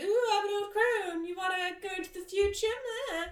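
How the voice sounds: A woman performs a put-on character voice at an extremely high pitch. She speaks at a moderate pace.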